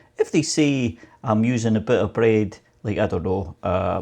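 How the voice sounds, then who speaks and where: The voice has a dark, mellow tone, a Scottish accent and ordinary pitch variation. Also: man. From Scotland. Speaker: home baking youtuber. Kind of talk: casual chat and cooking tutorial. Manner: chatty, rambling with fillers.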